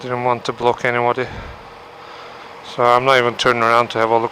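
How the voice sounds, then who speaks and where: A man speaks very fast in a Turkish accent, at medium pitch. Background noise is noticeable. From Turkey. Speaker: motorcycle vlogger. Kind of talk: casual vlog monologue. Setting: riding a motorcycle in traffic.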